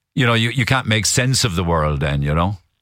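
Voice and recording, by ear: At a fairly quick pace, a man talks in a low pitch. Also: lively intonation, fairly bright tone.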